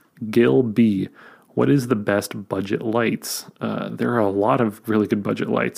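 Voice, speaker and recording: A quiet voice at a fairly slow pace. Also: man. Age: 30s. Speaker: YouTuber and filmmaker podcast host. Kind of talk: solo Q&A podcast. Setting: home recording late at night. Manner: hushed, quiet; casual with filler words.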